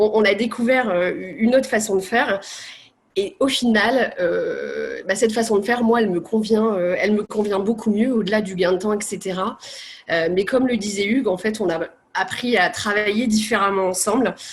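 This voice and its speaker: With an unremarkable speaking voice, a woman talks at a moderate pace and with fairly even intonation. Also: fairly high pitch for a woman. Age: 30s. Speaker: patient with cystic fibrosis. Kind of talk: testimony.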